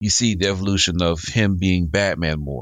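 The recording is dry and close, with no echo. A man talks at a moderate pace. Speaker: podcast co-host. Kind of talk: casual chat.

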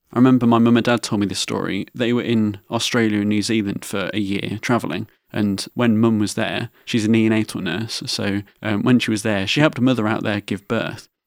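In an English accent, a man talks fairly quickly in a fairly low, flat monotone on a very clean recording with a silent background. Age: 20s. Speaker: podcast host with cystic fibrosis. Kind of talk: personal storytelling monologue.

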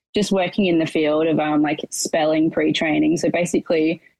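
A woman's very deep, low voice with an Australian accent, at a moderate pace. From Australia, rural Victoria (Portland). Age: 20s. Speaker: challenge winner, racehorse worker. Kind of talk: casual interview.

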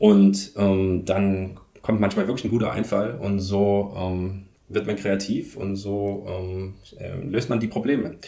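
A man speaks at a very slow pace in a fairly low pitch, his intonation fairly even, with audible room echo. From eastern Germany, Leipzig. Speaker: professor of movement and sports education. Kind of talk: interview. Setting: office at a university sports campus.

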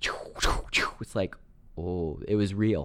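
With a normal speaking voice, a man talks at a fairly low pitch and ordinary pitch variation. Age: 40s. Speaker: real estate agent. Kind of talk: casual chat.

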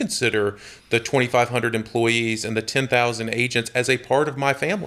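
A man with a Southern US accent at a medium pitch and a fairly quick pace. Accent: Southern US (Georgia). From US South, Georgia (Jonesboro, near Atlanta). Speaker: real estate company executive. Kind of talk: interview conversation.

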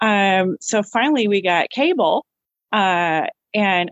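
This is a woman at a medium pitch. She has an ordinary speaking voice. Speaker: Monkees fan, works with youth. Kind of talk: casual chat.

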